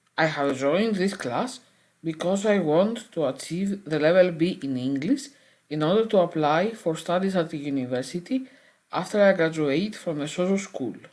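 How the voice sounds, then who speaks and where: At a moderate pace, a woman with a Greek accent speaks at a fairly low pitch with lively intonation. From Greece. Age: 40s. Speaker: adult language student. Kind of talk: prepared self-introduction. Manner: formal.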